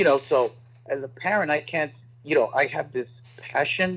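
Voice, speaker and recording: This man has an American accent and a fairly high pitch. He speaks at a moderate pace. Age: 60s. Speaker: political candidate, former prosecutor. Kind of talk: interview. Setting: radio studio. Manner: animated.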